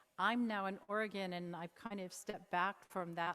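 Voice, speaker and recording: This woman speaks at a moderate pace and medium pitch, in a dry, close sound with no echo. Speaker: mental health peer advocate. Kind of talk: conference Q&A. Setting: conference stage with audience. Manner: gentle.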